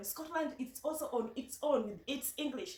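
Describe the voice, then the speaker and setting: A woman with a Kenyan accent speaks with lively intonation. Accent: Kenyan Luo. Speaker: vlogger. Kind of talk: casual vlog talk. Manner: halting, many repetitions.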